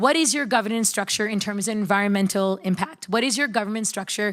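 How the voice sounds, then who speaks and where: A woman with an American accent speaks in a normal speaking voice at a fairly high pitch, with ordinary pitch variation and a fairly quick pace. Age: young. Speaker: startup founder. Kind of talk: panel discussion.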